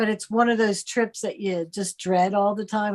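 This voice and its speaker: Speaking at a medium pitch with monotone, flat intonation, a woman has an American accent. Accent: Philadelphia-area, noticed by another. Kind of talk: casual chat.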